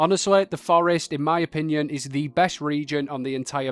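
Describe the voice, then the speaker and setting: Over music in the background, a man with a fairly high pitch and ordinary pitch variation talks at a fairly quick pace. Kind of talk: casual video game guide narration. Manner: casual, jokey.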